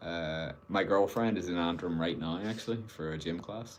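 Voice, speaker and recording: At a fairly slow pace, a man with a very deep, low pitch speaks in audible room echo. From Northern Ireland, Belfast. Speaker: guitarist streamer. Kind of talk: casual live stream chat. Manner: hesitant, many fillers.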